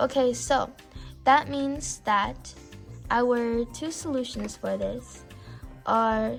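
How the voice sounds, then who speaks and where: A woman speaks with music in the background. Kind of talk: casual math tutorial talk. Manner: stuttering.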